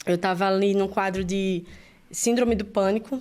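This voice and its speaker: Speaking with a Brazilian accent, a woman keeps a medium pitch, fairly even intonation and a moderate pace. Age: 30s. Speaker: church worship leader. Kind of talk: testimony. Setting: studio.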